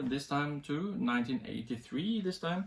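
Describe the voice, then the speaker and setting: A man speaks in a Norwegian accent with lively intonation. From Norway. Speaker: music reviewer. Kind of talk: casual video review. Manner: halting, many fillers.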